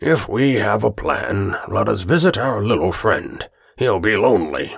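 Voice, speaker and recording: A raspy put-on character voice from a man, medium in pitch, at a moderate pace. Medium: read story. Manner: earnest, stiff and indignant.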